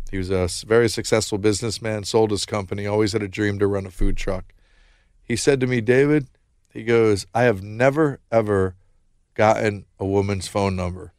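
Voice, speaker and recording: A man with a plain, everyday voice, fairly low pitch, fairly even intonation and a moderate pace, on a very clean recording with a silent background. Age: 40s. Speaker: founder of a social communication company. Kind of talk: interview. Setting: studio.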